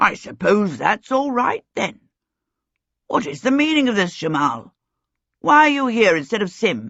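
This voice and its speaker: Raspy and fairly high in pitch, a put-on character voice moves at a moderate pace with long, frequent pauses. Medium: read story. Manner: clipped, genial, fatherly.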